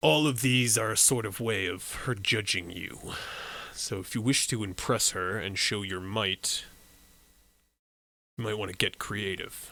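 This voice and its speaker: A man's put-on character voice, fairly low in pitch, at a moderate pace with long, frequent pauses. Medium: actual play. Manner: formal, measured.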